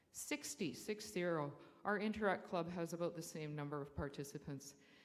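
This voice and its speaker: In audible room echo, a woman with a Canadian accent speaks at a moderate pace. Her voice is very deep and low, with ordinary pitch variation. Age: 60s. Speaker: public speaker at council meeting, school trustee. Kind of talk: public comment at council meeting.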